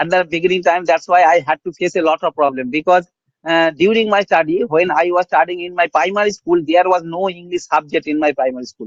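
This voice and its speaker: Talking at a fairly quick pace with fairly even intonation, this speaker has a Bengali accent, and the sound is dry and close with no echo. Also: man, high pitch for a man. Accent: Bengali-accented Indian English. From India, rural West Bengal. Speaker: English learner. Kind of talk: casual chat. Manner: halting.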